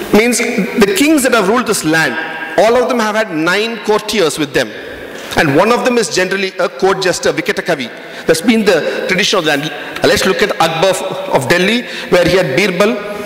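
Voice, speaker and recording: A man speaks at a fairly quick pace with high pitch and ordinary pitch variation. Audible room echo and noticeable background noise are present. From South India, Tamil Nadu. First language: Tamil. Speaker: panel speaker. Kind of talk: conference talk.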